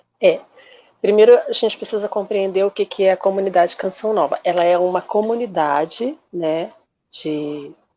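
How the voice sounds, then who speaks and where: Her tone dark and mellow, a woman speaks at a medium pitch and moderate pace with ordinary pitch variation. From Brazil, Rio de Janeiro. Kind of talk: interview.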